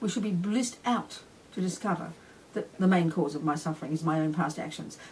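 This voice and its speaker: Speaking with an Australian accent, a woman uses a fairly low pitch and ordinary pitch variation. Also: fairly quick pace. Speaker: Buddhist nun and teacher. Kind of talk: dharma teaching. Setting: retreat talk with audience. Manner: fast; animated.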